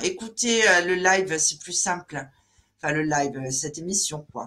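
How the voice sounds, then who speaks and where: A woman speaks at a medium pitch and a fairly slow pace in a bright, sharp tone. Her pitch varies in an ordinary way. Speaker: live show moderator. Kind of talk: live interview show.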